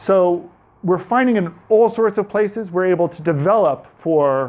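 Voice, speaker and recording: In a New York accent, a man with a high pitch speaks at a moderate pace with ordinary pitch variation. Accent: New York American. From New York, US. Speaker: tech speaker, developer. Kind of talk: technical presentation to audience. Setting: meetup talk with live audience. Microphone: speaking without a microphone.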